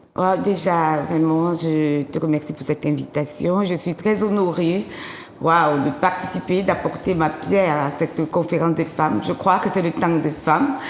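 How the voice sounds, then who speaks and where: A woman speaks fairly slowly at a fairly low pitch with ordinary pitch variation. Noticeable background noise is present. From Africa. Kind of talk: testimony. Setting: TV studio.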